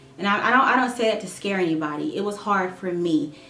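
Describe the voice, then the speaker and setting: A woman with a medium-pitched voice talks fairly quickly with lively intonation, amid audible room echo and noticeable background noise. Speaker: nursing student and vlogger. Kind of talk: casual vlog update. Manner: halting, stumbling; rambling.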